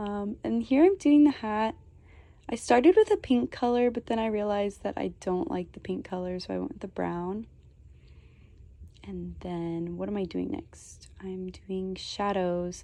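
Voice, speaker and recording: With big swings in loudness, a woman talks at a fairly slow pace against a quiet background. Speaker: digital artist. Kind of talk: tutorial. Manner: casual, filler-heavy.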